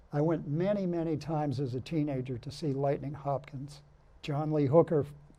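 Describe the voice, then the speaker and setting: A man speaks at a moderate pace with a fairly high pitch and fairly even intonation. His tone is dark and mellow, and somewhat breathy. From Massachusetts, US. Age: 70s. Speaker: blues musician. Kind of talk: TV interview.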